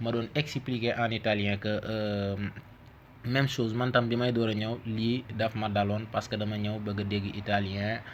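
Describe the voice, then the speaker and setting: A man with a Senegalese accent speaks at a moderate pace and a fairly low pitch. His intonation is monotone and flat. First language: Wolof (speaking Italian). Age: 30s. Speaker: language teacher. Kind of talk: tutorial.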